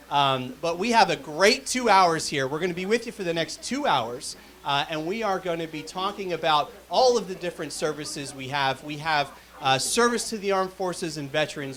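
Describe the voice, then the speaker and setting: Over noticeable background noise, a loud man with a high pitch talks at a fairly quick pace with lively intonation. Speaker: telethon host. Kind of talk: live telethon hosting. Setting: live stream studio.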